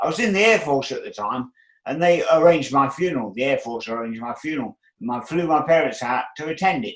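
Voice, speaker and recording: Against a quiet background, a man talks at a very fast pace with an Australian accent. His pitch is fairly high and his intonation lively. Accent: thick Australian. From British-born, living in Australia. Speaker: bodybuilder. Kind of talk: interview answer.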